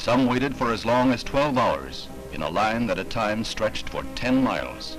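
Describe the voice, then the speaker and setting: A man with a medium-pitched voice speaks at a moderate pace in a solemn tone with lively intonation, music playing in the background. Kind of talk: newsreel narration.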